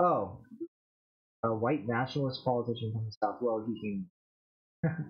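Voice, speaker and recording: Moving at a moderate pace, the speaker takes long, frequent pauses. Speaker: livestream host. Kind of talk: casual livestream chat. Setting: livestream. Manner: quieter than usual; relaxed.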